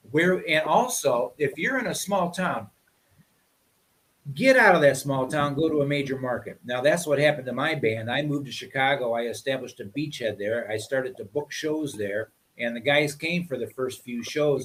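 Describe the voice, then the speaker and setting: Fairly high-pitched, a man talks at a fairly quick pace. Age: 60s. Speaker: musician. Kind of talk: casual chat. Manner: animated.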